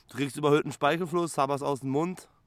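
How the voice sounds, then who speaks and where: A man's fairly high-pitched voice. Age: 30s. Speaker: psychiatric patient. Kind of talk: interview testimony. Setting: psychiatric clinic. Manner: halting, repeats words.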